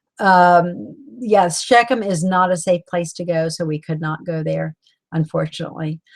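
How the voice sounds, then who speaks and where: Speaking with a Southern US accent, a woman has a fairly low pitch. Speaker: author leading a book club. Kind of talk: live-stream book club talk. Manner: halting, many fillers.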